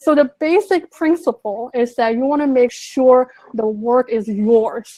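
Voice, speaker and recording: A high-pitched woman's voice in a Chinese accent with ordinary pitch variation. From Sichuan, China. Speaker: translator. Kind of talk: interview answer.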